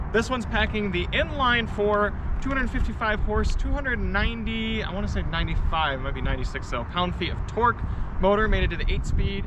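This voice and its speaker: Noticeable noise fills the background. A man speaks over it at a fairly slow pace. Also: dry sound with no echo. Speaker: car reviewer host. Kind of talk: live stream car walkaround commentary. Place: street.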